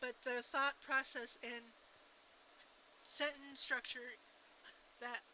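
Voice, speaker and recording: Speaking very slowly with an American accent, a woman holds a high pitch and fairly even intonation. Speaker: vlogger. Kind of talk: casual vlog monologue. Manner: halting.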